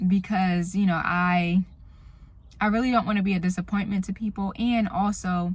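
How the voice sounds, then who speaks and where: A soft-spoken, somewhat breathy woman at a medium pitch with fairly even intonation, on a very clean recording with a silent background. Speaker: vlogger. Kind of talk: casual vlog monologue. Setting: in a car.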